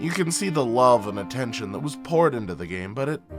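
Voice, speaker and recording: Over music in the background, a man at a medium pitch speaks with very wide pitch swings. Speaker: game reviewer. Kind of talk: video game review narration.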